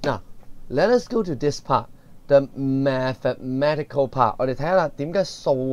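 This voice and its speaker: With a Cantonese accent, a man talks at a moderate pace in a fairly high pitch. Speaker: secondary school economics teacher. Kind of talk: lecture. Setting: recorded video lesson.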